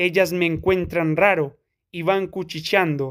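A man's high voice, fairly even in intonation and very slow, on a very clean recording with a silent background. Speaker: audiobook reader. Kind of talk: poem read aloud.

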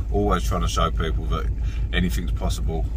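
A man with a very deep, low voice talks while noticeable noise fills the background. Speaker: angler vlogger. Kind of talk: casual vlog chat. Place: car. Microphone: phone near.

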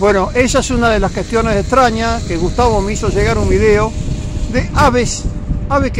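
A man with an Argentine accent at a fairly quick pace, amid audible room echo and noticeable background noise. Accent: Rioplatense Argentine Spanish. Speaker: UFO investigator, video channel host. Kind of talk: outdoor vlog narration to camera. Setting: outdoors on a cliff by the sea.

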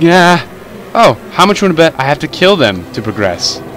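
A man's fairly high voice with very wide pitch swings, at a moderate pace, over noticeable background noise. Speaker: gamer. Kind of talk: let's play commentary. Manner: casual, profane.

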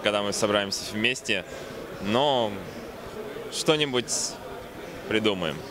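Noticeable background noise sits behind a man's fairly low voice. His pitch varies in an ordinary way, and the sound is dry with no echo. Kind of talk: interview answer. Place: hall. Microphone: handheld.

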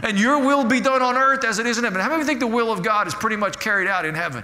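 A man with an American accent speaks in a raised, projected voice at an extremely high pitch. His pitch variation is ordinary. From United States. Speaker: pastor. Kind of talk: sermon. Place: church. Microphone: headset.

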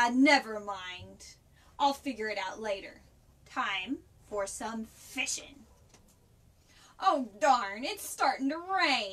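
Using a put-on character voice, a woman speaks in a fairly high pitch with a weary tone. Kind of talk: children's picture-book read-aloud. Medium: read story. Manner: grumbling, sighing, weary.

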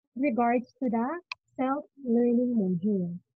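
The pace is fairly slow. The pitch swings very widely. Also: woman. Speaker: high school teacher. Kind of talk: webinar presentation. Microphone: poor internet connection.

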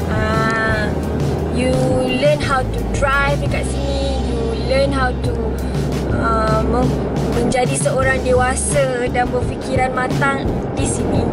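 Loud music plays in the background as a woman speaks at a very slow pace with long, frequent pauses. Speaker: vlogger. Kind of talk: casual vlog chat. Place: car. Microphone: phone near.

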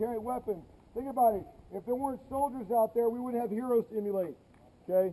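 A man talks at a very fast pace in an extremely high pitch, his tone dark and mellow, with ordinary pitch variation. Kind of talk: briefing speech to a crowd. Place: street. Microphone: camera far.

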